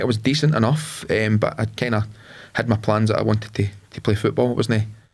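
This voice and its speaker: A man's very fast, somewhat breathy speech in a Lanarkshire accent, with ordinary pitch variation. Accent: Scottish (Lanarkshire). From Scotland, Lanarkshire (Carfin near Motherwell). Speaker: entrepreneur, former footballer. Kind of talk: podcast interview. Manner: hesitant, many fillers.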